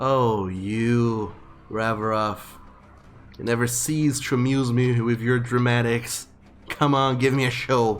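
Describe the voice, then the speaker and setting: In a growling, put-on character voice, a man of medium pitch takes on a menacing tone. He talks at a fairly slow pace with long, frequent pauses. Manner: menacing, taunting.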